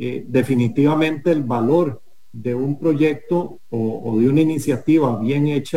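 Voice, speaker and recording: Here a man has a dark, mellow tone. His pitch sits fairly high with ordinary variation. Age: 50s. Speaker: company executive. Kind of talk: radio interview. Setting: remote connection.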